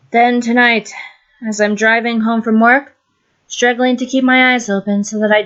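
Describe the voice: The background is quiet. Intonation stays fairly even in this plain reading aloud.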